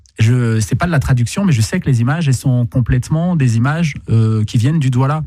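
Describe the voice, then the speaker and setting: This voice has a dark, mellow tone and is somewhat breathy, with ordinary pitch variation. It moves at a fairly quick pace with hardly any pauses. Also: man, medium pitch for a man, very even loudness. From Cameroon. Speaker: poet and artist. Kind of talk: radio interview. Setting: radio studio.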